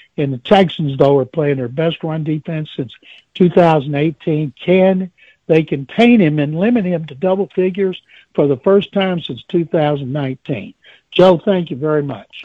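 A man with an ordinary speaking voice talks at a moderate pace, his fairly high pitch showing ordinary variation. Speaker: caller. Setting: phone call.

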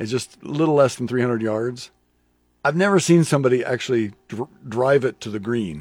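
Lively intonation from a man at a medium pitch and a fairly quick pace. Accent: Midwestern US. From Lincoln, Nebraska. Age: 60s. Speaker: radio host. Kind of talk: casual chat. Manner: halting, many fillers.

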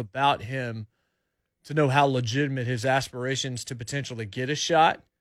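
On a very clean recording with a silent background, a man talks at a moderate pace in an ordinary speaking voice with fairly even intonation. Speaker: radio host. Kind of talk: casual sports radio banter. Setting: radio studio.

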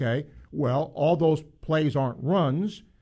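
A man talks slowly-ish in an unremarkable speaking voice, with a fairly high pitch, ordinary pitch variation and a fairly slow pace. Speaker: sports radio host. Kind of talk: sports talk radio. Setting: studio.

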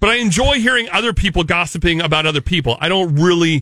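Very fast and at very even loudness, a man speaks with a high pitch. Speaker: podcast co-host. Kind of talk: casual comedic chat. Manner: sarcastic.

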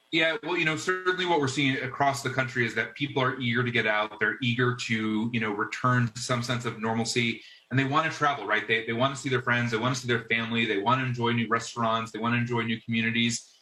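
A man talks at a very fast pace with hardly any pauses, his pitch medium and intonation fairly even. Noticeable background noise runs underneath. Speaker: corporate public affairs executive. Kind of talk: interview.

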